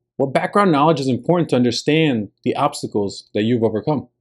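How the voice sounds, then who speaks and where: A fairly high-pitched man with a Spanish accent talks at a fairly quick pace with lively intonation. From New Jersey. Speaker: leadership podcast host and coach. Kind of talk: solo monologue, scripted talk.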